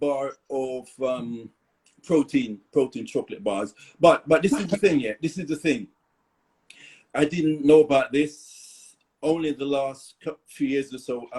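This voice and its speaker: A man with a Caribbean accent, fairly high pitch and lively intonation, at a fairly slow pace with long, frequent pauses. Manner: casual, conversational.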